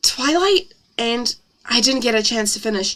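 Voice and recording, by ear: The intonation rises and falls lively. It is reading aloud in a natural voice.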